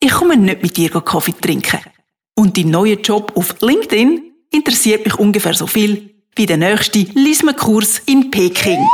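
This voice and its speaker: A woman with a fairly high pitch and lively intonation talks at a fairly slow pace, her loudness very even and her speech marked by long, frequent pauses. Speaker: podcaster. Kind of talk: monologue. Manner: casual.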